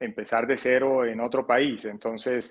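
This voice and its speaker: A man with a Colombian coastal accent speaks at a fairly slow pace. His medium-pitched voice is monotone, with flat intonation. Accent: Colombian coastal accent, noticeable. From Colombia, Barranquilla (Caribbean coast). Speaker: financial advisor. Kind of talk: interview. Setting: podcast. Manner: hesitant, many repetitions.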